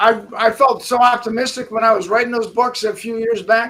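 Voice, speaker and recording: A man speaks in a raised, projected voice at an extremely high pitch. His tone is bright and sharp, and his pace moderate. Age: 70s. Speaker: constitutional lawyer and author. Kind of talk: casual talk show interview. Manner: halting, many fillers and restarts.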